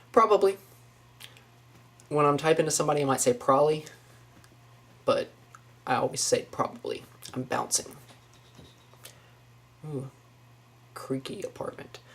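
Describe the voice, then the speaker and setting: An American accent at a moderate pace, with ordinary pitch variation and long, frequent pauses. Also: man, fairly high pitch for a man. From Northwest Florida, US. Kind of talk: casual talk to camera.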